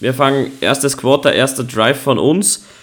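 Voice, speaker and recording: A man talks at a very slow pace, medium in pitch with ordinary pitch variation. The recording is very clean, with a silent background. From Austria. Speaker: podcast host. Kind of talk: casual chat.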